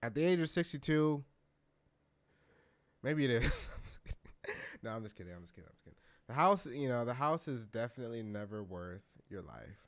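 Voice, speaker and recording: A man speaks in an animated tone at a fairly quick pace, his pitch swinging very widely and his loudness rising and falling sharply, with long pauses coming often. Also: medium pitch for a man. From California. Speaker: live streamer reacting to news. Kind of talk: live stream reaction commentary.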